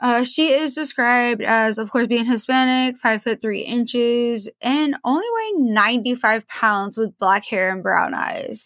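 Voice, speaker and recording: The speaker has a West Coast accent, ordinary pitch variation and a fairly slow pace, recorded very cleanly with a silent background. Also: woman. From Portland, Oregon, US Pacific Northwest. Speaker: true crime podcast host. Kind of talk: casual podcast monologue. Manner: casual and chatty with fillers.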